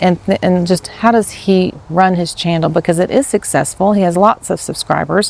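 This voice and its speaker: A soft-spoken woman at a medium pitch, moderate pace and fairly even intonation, with hardly any pauses. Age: 50s. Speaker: teacher and new vlogger. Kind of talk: casual vlog monologue. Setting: outdoors. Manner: rambling, hesitant.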